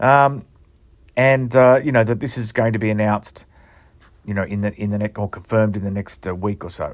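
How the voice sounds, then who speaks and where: With an Australian accent, a man talks at a fairly quick pace in a fairly low pitch, showing ordinary pitch variation. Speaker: rugby league journalist and podcast host. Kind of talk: casual monologue podcast. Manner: halting, many fillers.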